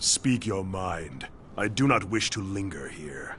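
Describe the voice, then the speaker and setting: A put-on character voice at a fairly slow pace over clear background noise. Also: man, very deep, low pitch for a man. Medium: video game. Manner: curt, harsh.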